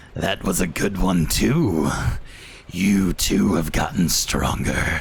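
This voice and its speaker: Over light background noise, a man does a put-on character voice that is raspy and very deep and low, moving at a very slow pace with very even loudness. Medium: actual play. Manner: unsettlingly playful, taunting.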